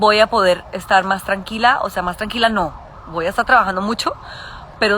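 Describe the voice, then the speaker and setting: Noticeable background noise accompanies a woman speaking at a fairly quick pace with a medium pitch and ordinary pitch variation. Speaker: podcast host and adoptive mother. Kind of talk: casual live stream chat. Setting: outdoors in garden, Instagram live. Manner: fast.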